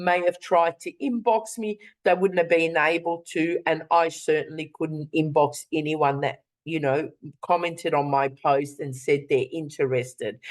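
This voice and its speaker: A woman with a plain, everyday voice speaks at a moderate pace in a fairly low pitch. Her pitch varies in an ordinary way over a quiet background. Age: 60s. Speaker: online business presenter. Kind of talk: webinar sales presentation.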